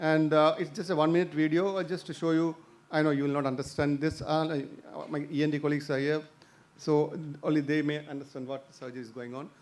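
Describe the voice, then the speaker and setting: Amid audible room echo, a man with a fairly high pitch speaks very fast with fairly even intonation. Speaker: ENT surgeon. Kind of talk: lecture. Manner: halting.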